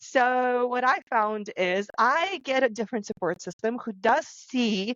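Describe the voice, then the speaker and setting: A woman's very slow speech. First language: not English. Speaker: podcast co-host, author. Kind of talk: casual panel discussion.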